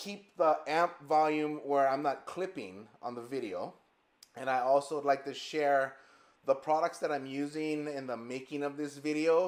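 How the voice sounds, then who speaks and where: Ordinary pitch variation in a man's fairly slow speech. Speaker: guitarist and amp builder. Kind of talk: product demo. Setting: edited live video stream. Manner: loud. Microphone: powered studio mic set low.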